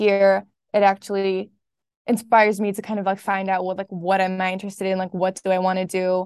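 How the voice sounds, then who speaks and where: The voice runs at a fairly quick pace with monotone, flat intonation and a dry, close sound with no echo. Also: woman. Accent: German. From Berlin, Germany. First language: German. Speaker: student podcast editor. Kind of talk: casual interview.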